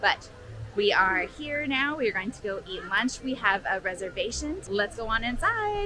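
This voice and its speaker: A woman speaks at a moderate pace with ordinary pitch variation, her voice dry with no echo over music in the background. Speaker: travel vlogger. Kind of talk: casual vlog chat. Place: street. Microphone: phone near.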